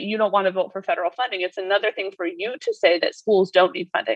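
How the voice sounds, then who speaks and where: A woman speaks at a fairly quick pace against a quiet background. Her pitch varies in an ordinary way. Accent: American. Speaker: policy advocate. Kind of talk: professional interview. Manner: fast talker.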